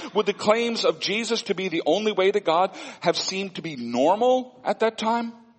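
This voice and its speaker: Over noticeable background noise, a man with an American accent and a high pitch speaks at a moderate pace with lively intonation. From Missouri Ozarks, US. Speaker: pastor. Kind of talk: sermon.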